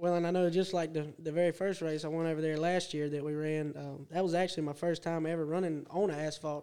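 A man with a Southern US accent talks at a very fast pace with hardly any pauses. His dark, mellow tone stays monotone and flat. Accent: Southern American. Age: 20s. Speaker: go-kart racer. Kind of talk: casual chat. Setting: studio.

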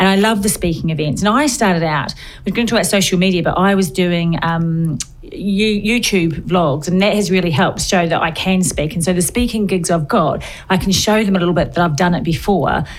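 With a New Zealand accent, a woman talks at a fairly quick pace and medium pitch, with ordinary pitch variation and very even loudness. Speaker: podcast host. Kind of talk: casual interview chat. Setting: studio. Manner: animated.

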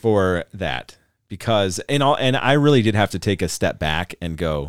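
In a very clean recording with a silent background and a dry, close sound with no echo, a man with an American accent speaks in a very deep, low pitch full of vocal fry. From Montana. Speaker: podcast host. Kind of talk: casual chat. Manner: hesitant, many fillers.

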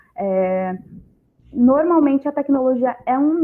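Speaking at a fairly slow pace with lively intonation, a woman has a plain, everyday voice. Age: 20s. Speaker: startup mentor and speaker. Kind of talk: panel discussion.

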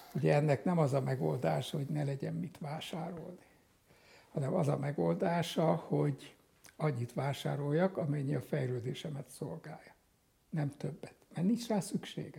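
A man with a fairly high pitch and a dark, mellow tone uses vocal fry and lively intonation at a moderate pace. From Hungary. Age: 80s+. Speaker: psychiatrist and psychotherapist. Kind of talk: interview.

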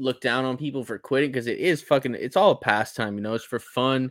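An ordinary speaking voice from a man, medium in pitch with ordinary pitch variation, in a dry, close sound with no echo. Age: 20s. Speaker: recurring podcast guest. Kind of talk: casual chat.

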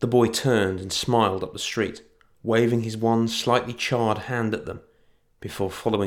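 An unforced reading voice keeps its intonation fairly even throughout.

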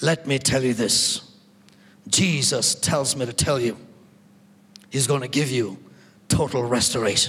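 A man's gruff, put-on character voice at a medium pitch, moderate pace and ordinary pitch variation, with long, frequent pauses. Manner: stern, authoritative.

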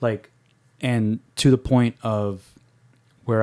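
A man's dark, mellow voice in a New York accent with fairly even intonation, on a very clean recording with a silent background. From New York City. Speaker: podcast host. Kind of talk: casual chat.

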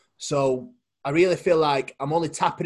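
A man speaks at a fairly slow pace with a fairly high pitch. His voice is somewhat breathy, with fairly even intonation. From Poland. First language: Polish. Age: 20s. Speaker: bodybuilding coach and competitor. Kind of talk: casual interview chat. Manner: halting, repeats words.

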